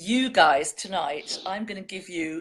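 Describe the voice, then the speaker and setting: A woman in a British accent, medium in pitch, with lively intonation and a moderate pace. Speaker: online show host reading poetry. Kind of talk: casual chat.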